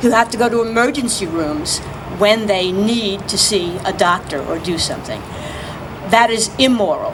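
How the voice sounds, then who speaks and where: A woman talks at a medium speed, her pitch moving in an ordinary way, amid noticeable background noise and audible room echo. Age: 60s. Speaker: activist. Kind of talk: press conference speech. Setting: outdoors.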